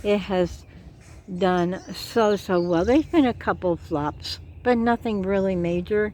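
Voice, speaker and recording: Her voice dark and mellow, a woman with an American accent speaks fairly slowly at medium pitch with ordinary pitch variation. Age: 60s. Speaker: gardening vlogger. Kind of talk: casual garden tour vlog. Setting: outdoors in garden.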